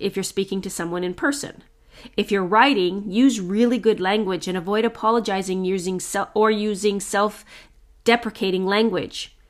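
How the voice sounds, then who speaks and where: A loud, energetic voice speaks at a moderate pace with ordinary pitch variation on a very clean recording with a silent background. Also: woman. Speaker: strengths coach and podcast host. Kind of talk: solo podcast tips monologue.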